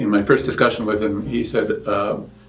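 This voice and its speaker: The speech moves at a moderate pace. Audible room echo and noticeable background noise fill the recording. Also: man. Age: 70s. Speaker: patient. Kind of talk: interview testimony. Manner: halting, with many fillers and restarts.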